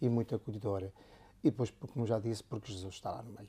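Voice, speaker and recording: A man's medium-pitched, dark, mellow voice in a northern Portuguese accent, fairly even in intonation, on a very clean recording with a silent background. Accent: northern Portuguese accent, kept. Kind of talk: interview conversation.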